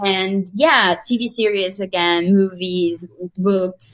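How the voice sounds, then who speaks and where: Speaking very slowly with a Spanish accent, a woman holds a medium pitch with ordinary pitch variation. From Mexico. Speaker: graphic designer, artist. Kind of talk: casual interview conversation. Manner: halting, many repetitions.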